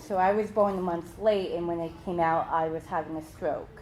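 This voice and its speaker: In an ordinary speaking voice, a woman talks at a fairly low pitch with fairly even intonation. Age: 20s. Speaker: workshop presenter. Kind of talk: workshop presentation.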